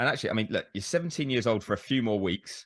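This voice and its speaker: A man with a British accent, recorded dry and close with no echo. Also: quiet background. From Britain. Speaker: motorsport journalist. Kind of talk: interview.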